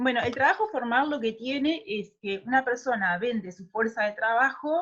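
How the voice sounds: At a moderate pace, a woman talks with lively intonation at a fairly high pitch, her tone fairly bright.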